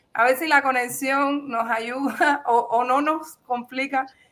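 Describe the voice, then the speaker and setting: With a bright, sharp tone, a woman speaks in a high pitch, her voice raised and projected. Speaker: journalist. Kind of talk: interview. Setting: video call. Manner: halting.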